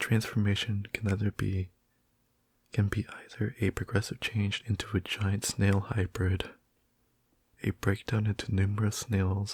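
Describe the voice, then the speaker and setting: Soft-spoken and somewhat breathy, a man talks in a fairly low, monotone, flat voice at a fairly slow pace with long, frequent pauses, very even loudness and a dry, close sound with no echo. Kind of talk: reading facts aloud about a fictional ability.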